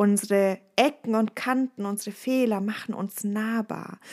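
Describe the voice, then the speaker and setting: With a slight Bavarian accent, a woman speaks at a fairly slow pace, her medium pitch following fairly even intonation. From Bavaria, Ostallgäu. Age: 30s. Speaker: resilience trainer and podcast host. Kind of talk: casual podcast monologue.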